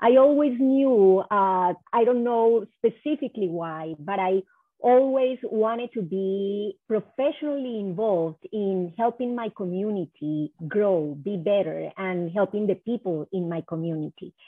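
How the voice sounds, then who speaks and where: Speaking at a fairly slow pace with an Spanish accent, a woman with a medium pitch uses lively intonation. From Colombia (Cali). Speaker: economic development executive. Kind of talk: interview. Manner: halting.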